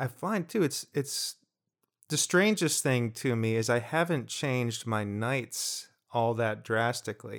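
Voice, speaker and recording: Speaking fairly slowly on a very clean recording with a silent background, a man uses a normal speaking voice of medium pitch with ordinary pitch variation. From New Jersey. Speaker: podcast co-host. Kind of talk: casual chat.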